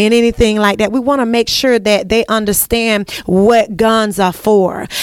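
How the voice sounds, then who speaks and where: With an American accent and an animated tone, a woman speaks at a moderate pace and medium pitch over noticeable background noise. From US South. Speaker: broadcast host. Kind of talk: interview. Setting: on location at a sheriff's office.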